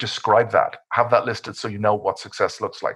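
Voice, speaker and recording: The speaker has an Irish accent and moves at a fairly quick pace. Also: man. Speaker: cyber security expert. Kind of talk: webinar presentation. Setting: online webinar. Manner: fast.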